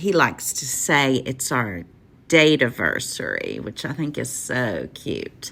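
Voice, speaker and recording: Using a Southern accent, a woman with a very deep, low pitch and vocal fry speaks at a fairly slow pace, her bright, sharp tone carrying lively intonation. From West Virginia. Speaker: listener sharing love story. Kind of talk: personal story.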